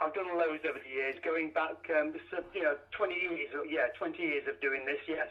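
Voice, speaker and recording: A man with an East Midlands accent talks with hardly any pauses against noticeable background noise. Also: moderate pace. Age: 60s. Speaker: truck driver and charity biker. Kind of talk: radio interview. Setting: phone call from parked truck. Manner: halting.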